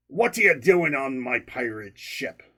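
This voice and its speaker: A man puts on a gruff, raspy character voice. His pitch sits in the medium range. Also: moderate pace. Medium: read story. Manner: gruff, cross.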